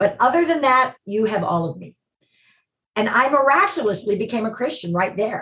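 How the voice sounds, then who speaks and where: A woman with an American accent, an ordinary speaking voice, fairly high pitch, big swings in loudness, and a moderate pace. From US Midwest, Chicago. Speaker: TV producer and ministry director. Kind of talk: casual interview.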